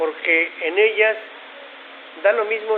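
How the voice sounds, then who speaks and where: At a fairly slow pace, a man speaks with ordinary pitch variation over noticeable background noise. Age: 70s. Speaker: conference speaker. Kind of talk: lecture.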